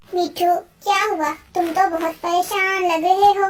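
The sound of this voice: In a cartoonish character voice, a woman squeaks at an extremely high pitch with monotone, flat intonation. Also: moderate pace.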